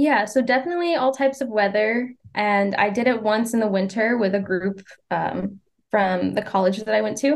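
A woman with an American accent has an unremarkable speaking voice, fairly high in pitch with ordinary variation, at a moderate pace and very even loudness. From Maine, US (small town north of Portland). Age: 20s. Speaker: long-distance hiker. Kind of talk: interview.

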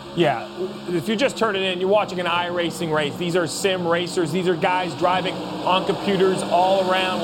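Animated and excited, a man talks at a moderate pace over noticeable background noise. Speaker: racing analyst. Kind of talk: live race commentary and analysis. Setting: studio. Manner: animated, excited, conversational.

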